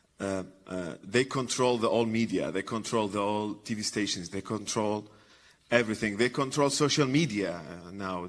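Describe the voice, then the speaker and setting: In an Arabic accent, a man with a fairly low pitch speaks at a moderate pace on a very clean recording with a silent background. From Iraq. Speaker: comedian and former journalist. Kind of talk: conference talk. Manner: halting, many fillers and repetitions.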